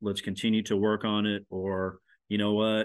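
A man with a Midwestern American accent speaks at a fairly low pitch. His delivery is monotone and flat, at a moderate pace. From Nebraska, Lincoln. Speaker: former college sports media relations official, co-host. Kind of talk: casual sports podcast chat.

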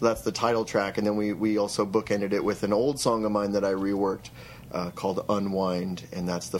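A man speaks with an American accent at a fairly low pitch. His intonation is fairly even. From Eastern Idaho. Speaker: musician. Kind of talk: interview. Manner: halting.

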